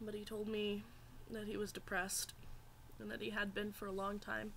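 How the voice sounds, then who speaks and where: The speaker keeps a moderate pace in a monotone, flat intonation. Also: woman, medium pitch for a woman. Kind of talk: personal story to camera. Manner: hesitant, emotional.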